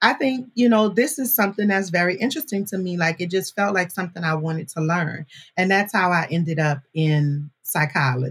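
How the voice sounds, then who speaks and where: A woman with an American accent speaks at a fairly low pitch, sounding animated and somewhat breathy. Her intonation is lively, and her pace is fairly quick with hardly any pauses. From New Orleans, Louisiana (Marrero, West Bank). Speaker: podcast producer and host, university alumna. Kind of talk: casual interview chat.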